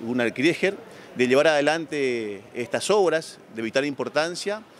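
Over light background noise, a man talks at a moderate pace with lively intonation in a dry recording with no echo. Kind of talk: interview answer. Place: market. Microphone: handheld.

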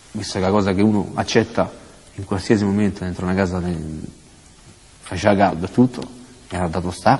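A man with a very deep, low pitch and fairly even intonation, at a fairly quick pace broken by long, frequent pauses. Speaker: convicted prisoner; interviewee. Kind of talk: interview. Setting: prison. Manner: halting. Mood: earnest, troubled recounting. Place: hall. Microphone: lapel.

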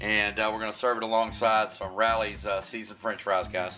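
A man at a fairly quick pace, faint music in the background. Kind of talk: casual cooking tutorial. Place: kitchen.

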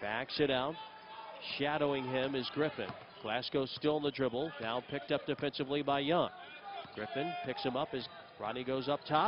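Through noticeable background noise, a man with an excited tone and a fairly high pitch speaks with long, frequent pauses, the sound dry with no echo. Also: ordinary pitch variation, moderate pace. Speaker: basketball play-by-play announcer. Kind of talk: live play-by-play sports commentary. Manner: excited, rising energy on made threes. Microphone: headset.

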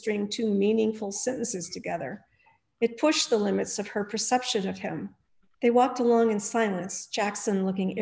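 Quiet background behind an unforced reading voice.

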